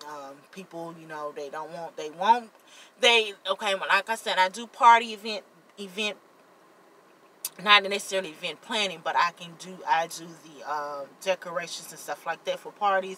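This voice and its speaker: Her loudness swinging widely, a woman talks at a moderate pace in a medium pitch with ordinary variation. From US South, Jackson, Mississippi. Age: 30s. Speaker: vlogger and party decorator. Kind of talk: casual vlog chat. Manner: halting, repeats words.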